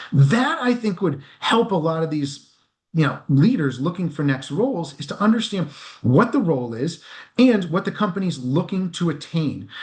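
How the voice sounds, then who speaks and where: Over a quiet background, a man talks in a high pitch with lively intonation. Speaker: executive recruiter. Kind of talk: interview. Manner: fast.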